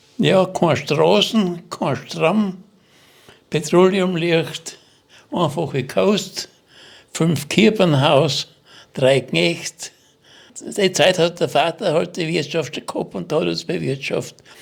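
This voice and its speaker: Very slowly, a man speaks with a fairly high pitch, vocal fry, and ordinary pitch variation. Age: 80s+. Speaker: war veteran. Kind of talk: testimony. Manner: halting.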